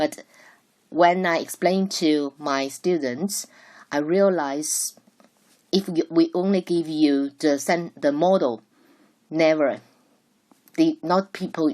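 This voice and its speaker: A woman with a Chinese accent speaks at a very slow pace with long, frequent pauses. Her fairly low pitch has ordinary variation and a dark, mellow tone. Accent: Mandarin Chinese accent in English. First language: Mandarin Chinese. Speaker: Mandarin teacher. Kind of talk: lecture. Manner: halting, with self-corrections.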